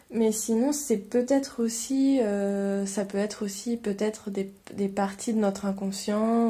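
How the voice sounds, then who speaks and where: On a very clean recording with a silent background, a woman speaks very slowly in a dark, mellow, somewhat breathy tone at a medium pitch, with fairly even intonation. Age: 30s. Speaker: podcast guest, self-employed mother. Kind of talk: interview conversation. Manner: halting.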